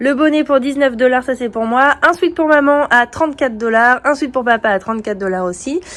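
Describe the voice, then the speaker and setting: With normal pitch movement, this woman talks in a high register. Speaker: family travel vlogger. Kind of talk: casual vlog talk to camera.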